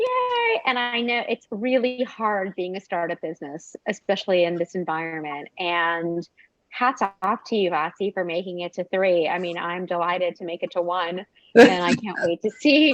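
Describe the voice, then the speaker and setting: A woman with a Southern California accent, medium pitch with ordinary variation, moderate pace, dry, close sound with no echo. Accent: American, Valley girl. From USA. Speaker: small business owner. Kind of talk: live video chat interview.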